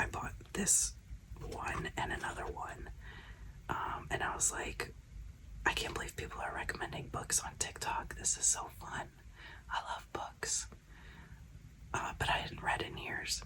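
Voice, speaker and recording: Through noticeable background noise comes a whisper at a fairly slow pace, broken by long, frequent pauses. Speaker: glitter maker and content creator. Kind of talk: casual chat. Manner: whispering; soft-spoken.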